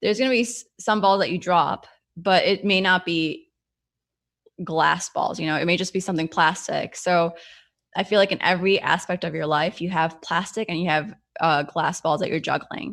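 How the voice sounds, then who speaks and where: In an ordinary speaking voice, a woman of medium pitch speaks at a moderate pace with ordinary pitch variation, and the recording is very clean, with a silent background. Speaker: entrepreneur and motivational speaker. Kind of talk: Q&A in a virtual business workshop.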